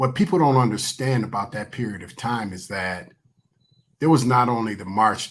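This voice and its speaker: A man speaks at a medium pitch and a moderate pace with ordinary pitch variation. His is an unremarkable speaking voice. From Michigan, Willow Run. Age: 60s. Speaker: guest. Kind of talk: casual chat.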